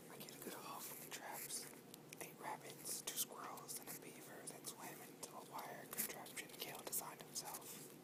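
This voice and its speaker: Someone whispers over noticeable background noise. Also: moderate pace. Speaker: ASMR artist. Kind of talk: whispered ASMR book reading for relaxation. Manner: whispered, soft.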